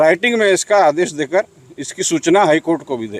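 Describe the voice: Here a man speaks with a fairly high pitch. The pitch varies in an ordinary way.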